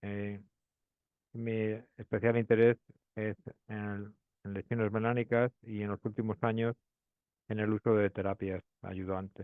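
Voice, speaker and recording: With a Spanish accent, a man speaks at a fairly low pitch in a flat monotone. Long pauses come often. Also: fairly slow pace. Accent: Spanish (Spain). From Spain, Madrid. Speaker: pathologist. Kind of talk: lecture. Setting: webinar. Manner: hesitant, many fillers.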